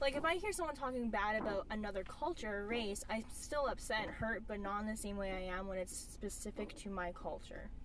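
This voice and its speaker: A woman speaks fairly quickly with a fairly high pitch and lively intonation. Room echo is audible around her. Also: hardly any pauses. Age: 20s. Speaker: film participant. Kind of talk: group discussion.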